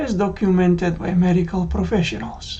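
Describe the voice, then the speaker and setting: At a fairly slow pace, a woman of medium pitch speaks amid audible room echo. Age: 60s. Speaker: cardiac arrest survivor. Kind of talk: testimony.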